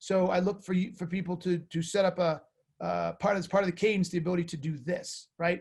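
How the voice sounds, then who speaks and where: A man talks loudly at a moderate pace against a quiet background. His pitch is high, with ordinary variation. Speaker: sales author and coach. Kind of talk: webinar presentation. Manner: halting, many fillers.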